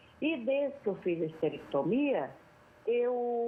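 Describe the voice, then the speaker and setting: The speaker is a woman. Her pace is very slow. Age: 60s. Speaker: caller. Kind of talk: phone-in question. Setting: phone call.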